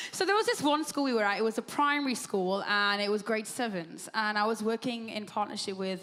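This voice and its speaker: Amid noticeable background noise, a woman talks very fast in an animated tone, her fairly high voice showing ordinary pitch variation. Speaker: ministry leader. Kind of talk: on-stage interview.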